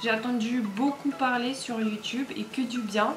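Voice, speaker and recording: Over noticeable background noise, a woman with a non-native accent speaks in a fairly high voice with fairly even intonation. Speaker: haul vlogger. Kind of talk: casual talk to camera.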